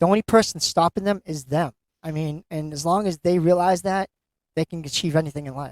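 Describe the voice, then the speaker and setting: With a Boston accent, a man speaks at a high pitch with fairly even intonation and big swings in loudness. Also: fairly quick pace. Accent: Boston-area. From Massachusetts. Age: 50s. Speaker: author. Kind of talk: interview. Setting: live event at a bookstore.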